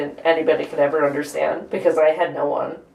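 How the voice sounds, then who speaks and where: The speaker talks at a moderate pace in a flat, monotone delivery. Music plays in the background. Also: woman. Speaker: reality show contestant; aspiring actor. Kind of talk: casual conversation.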